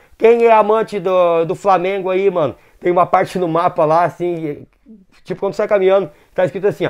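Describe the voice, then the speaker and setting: Against a quiet background, a man talks at a fairly quick pace in a high pitch. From southern Brazil. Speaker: gaming YouTuber. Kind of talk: casual gaming video commentary. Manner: animated.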